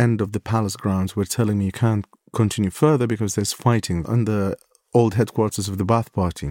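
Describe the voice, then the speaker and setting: In an Iraqi accent, a dark, mellow tone comes through at a fairly quick pace on a very clean recording with a silent background. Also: man, dry, close sound with no echo. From Baghdad, Iraq. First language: Arabic. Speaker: war correspondent and photographer. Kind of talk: interview recounting stories.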